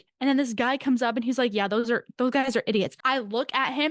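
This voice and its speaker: Against a quiet background, a woman's high, animated voice has a dry, close sound with no echo. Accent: American. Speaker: podcast co-host. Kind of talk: casual chat.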